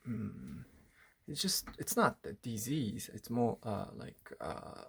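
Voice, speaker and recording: Speaking with a Japanese accent, a man uses a medium pitch and a fairly slow pace. His intonation is lively, and vocal fry creeps in. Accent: Japanese-accented English, rusty. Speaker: artist. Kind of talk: personal video diary. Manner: halting, many fillers.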